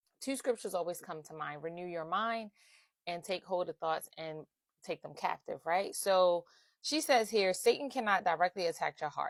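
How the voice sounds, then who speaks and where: A woman at a medium pitch with big swings in loudness, in a dry, close sound with no echo on a very clean recording with a silent background. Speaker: faith-based life coach. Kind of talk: casual faith talk to camera. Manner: fast.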